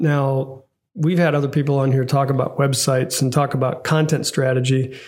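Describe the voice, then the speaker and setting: The man's voice sits at a fairly high pitch and sounds somewhat breathy. His intonation is monotone and flat, with very even loudness. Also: moderate pace. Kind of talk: casual podcast discussion.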